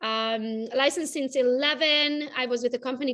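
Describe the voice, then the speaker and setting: A woman with a Romanian accent and fairly even intonation. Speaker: realtor and social media coach. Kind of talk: interview.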